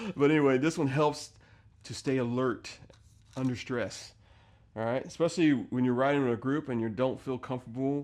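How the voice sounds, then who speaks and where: A man's medium-pitched, ordinary speaking voice at a fairly quick pace, with fairly even intonation and a quiet background. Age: 50s. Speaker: motorcycle vlogger. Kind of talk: casual video tutorial. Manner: casual, filler-heavy.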